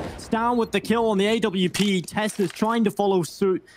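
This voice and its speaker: An animated tone comes through at a moderate pace over noticeable background noise. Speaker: esports caster. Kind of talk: live esports play-by-play commentary. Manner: animated, exclamatory bursts at clutch moments.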